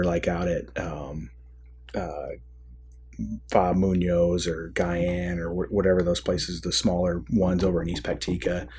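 This man talks in a very deep, low pitch with a Midwestern American accent. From US Midwest, Michigan. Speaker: army veteran, former company commander. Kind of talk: casual interview. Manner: halting, many fillers.

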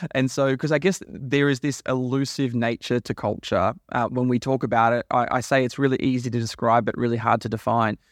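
With an Australian accent, a man talks at a fairly quick pace and medium pitch, his loudness very even, his intonation fairly even, hardly any pauses, over a quiet background. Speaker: podcast host. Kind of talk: interview.

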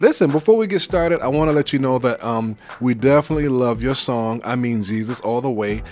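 This man has an American accent and a medium pitch. He talks at a fairly quick pace with ordinary pitch variation. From New York (Brooklyn). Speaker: radio host. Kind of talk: interview. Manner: animated.

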